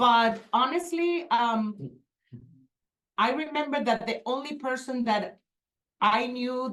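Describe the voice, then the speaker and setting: A woman with a Spanish accent speaks very slowly at a high pitch, her intonation lively and her speech broken by long, frequent pauses. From Venezuela. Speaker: real estate agent. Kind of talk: panel discussion.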